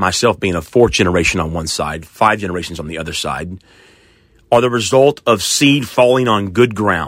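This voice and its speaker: A man's fairly low voice with an American accent and very wide pitch swings. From Oklahoma. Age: 40s. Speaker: pastor. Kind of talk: sermon. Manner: hesitant with fillers.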